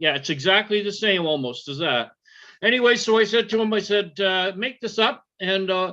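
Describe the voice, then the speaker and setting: Over a quiet background, a man with a high voice projects loudly at a moderate pace with lively intonation. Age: 60s. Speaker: podcast host and retired arm wrestler. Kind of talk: casual chat. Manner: halting, many fillers and restarts.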